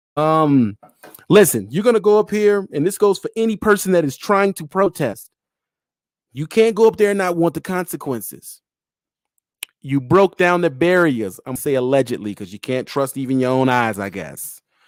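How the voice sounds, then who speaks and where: A man's fairly high voice with very wide pitch swings and big swings in loudness, dry and close with no echo, on a very clean recording with a silent background. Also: moderate pace. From Pennsylvania, US. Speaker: livestream host. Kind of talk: live stream talk. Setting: live audio stream.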